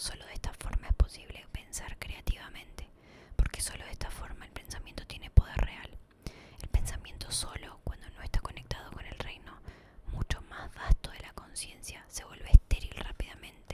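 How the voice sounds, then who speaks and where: A woman whispers at a moderate pace, her loudness swinging widely. Noticeable background noise is present. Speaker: ASMR creator. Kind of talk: whispered book reading for sleep.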